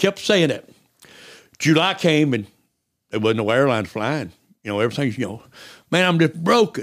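A man with a rural Southern US accent speaks at a moderate pace in a fairly high pitch, his pitch swinging very widely. He takes long, frequent pauses on a very clean recording with a silent background. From US South, East Tennessee. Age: 60s. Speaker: missionary. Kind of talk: casual chat.

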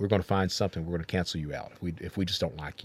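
A man with a very deep, low pitch and vocal fry is heard on a very clean recording with a silent background. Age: 50s. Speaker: podcast host. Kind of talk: casual chat.

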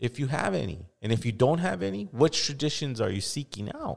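A man with an American accent talks at a moderate pace, his pitch swinging very widely. The recording is very clean with a silent background. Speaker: podcast host and hip hop artist. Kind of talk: casual interview chat.

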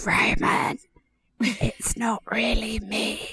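In a put-on character voice, a raspy, female-sounding speaker talks at a fairly high pitch. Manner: scary, spooky voice.

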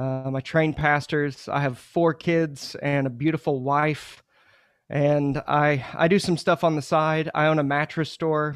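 Against a quiet background, a man speaks fairly slowly at a fairly high pitch in a monotone, flat intonation. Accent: American. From Oklahoma, Muskogee. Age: 30s. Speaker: pastor. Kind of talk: podcast interview.

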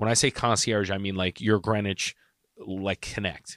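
In a very clean recording with a silent background and a dry, close sound with no echo, a man talks at a moderate pace and fairly low pitch in an ordinary speaking voice. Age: 30s. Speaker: podcast co-host, real estate agent. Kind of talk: casual chat.

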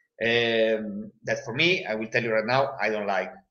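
A man with an Italian accent speaks fairly slowly at a medium pitch. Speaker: football fan and guest pundit. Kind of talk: casual chat. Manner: halting.

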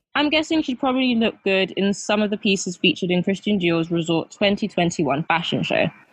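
At a moderate pace, a woman with a British accent talks at a medium pitch with lively intonation. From UK. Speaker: fashion podcast host. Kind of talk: scripted narration; casual chat.

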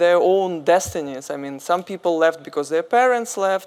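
Speaking with a Russian accent, a woman keeps a moderate pace in a fairly low pitch, with ordinary pitch variation. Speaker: journalist, media founder. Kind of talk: panel discussion. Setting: stage with audience.

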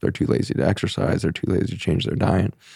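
A man with an American accent talks at a very fast pace, his dark, mellow tone marked by vocal fry. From Colorado, US West. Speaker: physician. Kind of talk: interview conversation.

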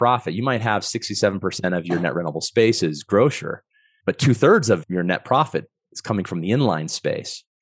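This man talks at a fairly quick pace with very wide pitch swings. The sound is dry and close with no echo, over a quiet background. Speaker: real estate investor. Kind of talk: podcast interview.

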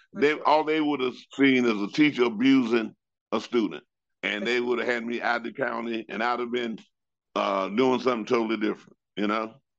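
An unremarkable speaking voice from a man with an American accent, medium in pitch, at a fairly quick pace with ordinary pitch variation. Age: 60s. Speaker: retired PE teacher and coach. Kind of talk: casual interview chat.

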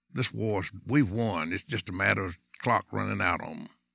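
A man with an American accent speaks at a moderate pace and fairly low pitch, his tone bright and sharp with vocal fry and ordinary pitch variation. The recording is very clean, with a silent background. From US South, Tennessee. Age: 80s+. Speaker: war veteran. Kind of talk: interview.

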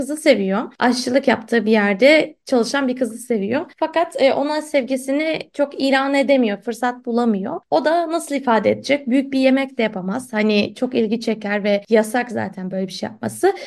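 A woman talks at a moderate pace with hardly any pauses. Her pitch is high, with ordinary variation. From Istanbul, Turkey. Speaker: literature podcast host. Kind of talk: casual chat. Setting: remote call.

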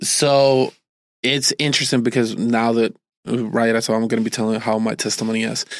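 A man speaks in a Puerto Rican accent at a medium pitch. His intonation is monotone and flat, and his loudness stays very even. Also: fairly quick pace. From Puerto Rico. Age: 30s. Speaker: pastor sharing testimony. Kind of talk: testimony.

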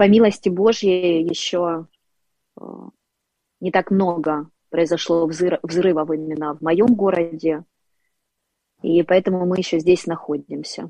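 A dark, mellow tone moves at a very slow pace with long, frequent pauses. The intonation stays fairly even while the loudness swings widely. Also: woman, fairly low pitch for a woman. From Ukraine, Dnipro. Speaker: public speaking and voice coach. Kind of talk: interview and faith testimony.

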